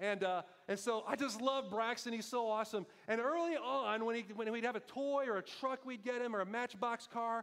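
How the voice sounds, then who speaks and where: Loud and animated, a man talks at a fairly quick pace in an extremely high pitch. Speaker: pastor. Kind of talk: sermon.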